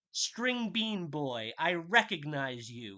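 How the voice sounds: A bellowing put-on character voice at middle pitch, very slow, with very wide pitch swings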